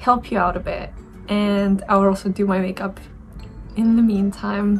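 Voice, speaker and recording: Music plays in the background. A woman speaks at a medium pitch with fairly even intonation. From Romania, Bacău (northeast). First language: Romanian. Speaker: beauty YouTuber. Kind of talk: casual chat. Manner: hesitant, with fillers.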